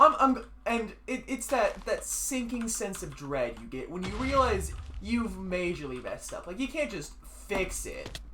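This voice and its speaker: Fairly slow pace over noticeable background noise. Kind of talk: casual gaming chat storytelling.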